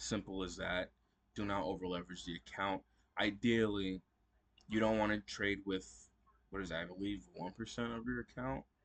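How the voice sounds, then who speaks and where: A man's fairly low voice with ordinary pitch variation and long, frequent pauses, against a quiet background. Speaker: stock trading youtuber. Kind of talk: casual video recap. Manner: fast.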